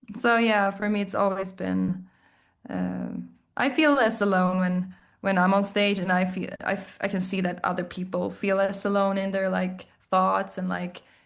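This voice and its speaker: At a moderate pace, a woman with a Swedish accent speaks at a medium pitch. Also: fairly even intonation. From southern Sweden. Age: 30s. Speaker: indie musician. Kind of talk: casual interview. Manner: halting.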